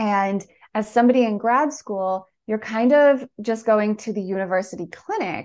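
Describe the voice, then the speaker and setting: A woman with an ordinary speaking voice talks at a moderate pace, her pitch varying in the ordinary way. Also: fairly high pitch for a woman. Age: 30s. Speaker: patient advocate and content creator. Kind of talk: interview.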